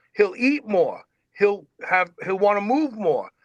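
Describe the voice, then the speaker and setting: Speaking at a moderate pace, a man uses lively intonation in a high pitch. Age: 60s. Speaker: fitness radio host and former lifter. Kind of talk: casual interview chat. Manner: repetitive stammering starts.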